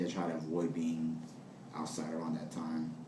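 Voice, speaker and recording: At a moderate pace, a man with an American accent speaks amid audible room echo. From US, New Jersey (Passaic). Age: 20s. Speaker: interviewee. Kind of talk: interview. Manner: halting, many fillers.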